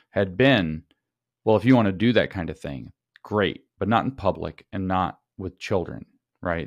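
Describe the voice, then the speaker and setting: In a very clean, dry, close recording with a silent background and no echo, a man with vocal fry speaks at a fairly low pitch and moderate pace, with ordinary pitch variation. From Tennessee. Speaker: podcast guest commentator. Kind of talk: casual interview conversation.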